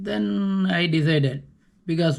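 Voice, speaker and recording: A man speaks with a Tamil Nadu accent and a fairly high pitch. The recording is very clean, with a silent background. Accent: Tamil Indian English. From South India (Tamil). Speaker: vlogger. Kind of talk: casual monologue. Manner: halting, with self-corrections.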